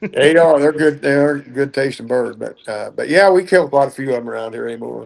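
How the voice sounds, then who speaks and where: A man with an ordinary speaking voice, fairly high in pitch, at a fairly quick pace, with ordinary pitch variation and big swings in loudness. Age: 60s. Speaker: duck and goose call maker. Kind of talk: podcast interview.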